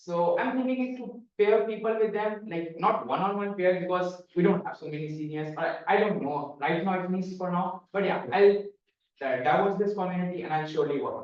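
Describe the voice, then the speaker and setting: In audible room echo, a man with a non-native accent speaks at a high pitch and a fairly quick pace, with ordinary pitch variation. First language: not English. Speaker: student election candidate. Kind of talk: debate answer. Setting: stage with audience. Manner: halting.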